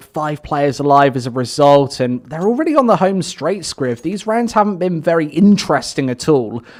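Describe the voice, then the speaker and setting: Amid noticeable background noise, a man with a British accent speaks at a moderate pace, his pitch fairly high with ordinary pitch variation. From Britain. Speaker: esports caster. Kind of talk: live commentary.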